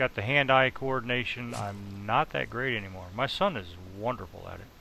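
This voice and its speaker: A man's fairly quick speech with ordinary pitch variation, over noticeable background noise. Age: 40s. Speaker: gamer. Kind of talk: gameplay commentary. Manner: halting.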